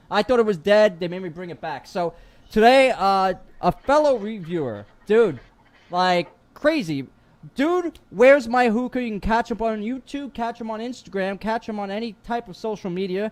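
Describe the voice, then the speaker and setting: A high-pitched man at a moderate pace, animated and lively in intonation, with big swings in loudness, on a very clean recording over a silent background. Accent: New York. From New York. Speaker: podcast host. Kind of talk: casual chat.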